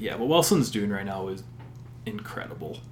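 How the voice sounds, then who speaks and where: A man with a Canadian accent and lively intonation, with audible room echo and noticeable background noise. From Alberta, Canada (Sherwood Park). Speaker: sports podcast co-host. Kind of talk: casual chat.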